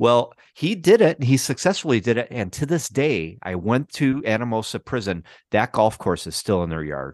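Speaking at a moderate pace with hardly any pauses, the voice has an American accent, vocal fry and very wide pitch swings, with a dry, close sound with no echo and a quiet background. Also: man, medium pitch for a man. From Chicago, US Midwest. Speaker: documentary filmmaker. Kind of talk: interview conversation. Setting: remote video call.

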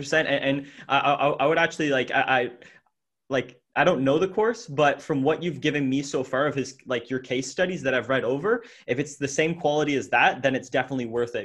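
Speaking at a fairly quick pace, this is a plain, everyday voice with ordinary pitch variation. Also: man. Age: 20s. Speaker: podcast host. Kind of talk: casual interview.

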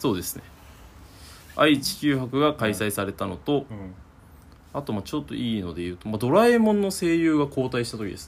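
Moving at a fairly quick pace, a man with a medium pitch makes very wide pitch swings and big swings in loudness. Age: 20s. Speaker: podcast co-host. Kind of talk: casual chat. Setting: recording at his home.

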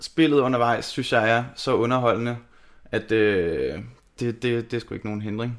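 An unremarkable speaking voice, a man's at medium pitch, moves at a fairly slow pace with fairly even intonation in a very clean recording with a silent background. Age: 30s. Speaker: metal band lead singer, podcast guest. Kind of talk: casual chat.

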